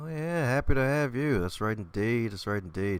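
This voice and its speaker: Talking at a fairly quick pace, a man uses lively intonation at a medium pitch. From Baltimore, US. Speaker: podcast host. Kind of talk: casual interview chat. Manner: animated.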